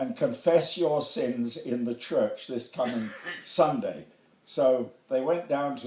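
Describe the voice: Someone is doing plain reading aloud here.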